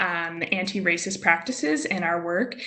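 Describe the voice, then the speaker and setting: Room echo can be clearly heard around a woman who talks at a medium speed. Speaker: youth hub staff member. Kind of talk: webinar panel answer.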